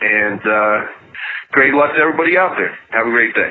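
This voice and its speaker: The speaker has a New York accent, and there is noticeable background noise. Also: man. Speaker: listener calling in with a question. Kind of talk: voicemail question. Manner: enthusiastic.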